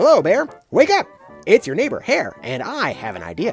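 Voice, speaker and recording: Faint music plays behind a man doing a put-on character voice at a moderate pace. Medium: read story. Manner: smooth, friendly, persuasive.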